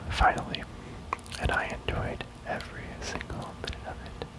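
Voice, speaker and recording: Over noticeable background noise, a man speaks in a whisper. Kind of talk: ASMR gaming ramble. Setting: binaural audio. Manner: whispered, soft-spoken.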